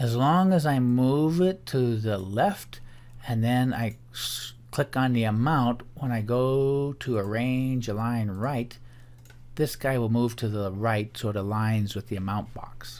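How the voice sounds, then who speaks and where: The man has an ordinary speaking voice at a medium pitch, with ordinary pitch variation and a fairly slow pace. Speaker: teacher. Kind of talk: tutorial.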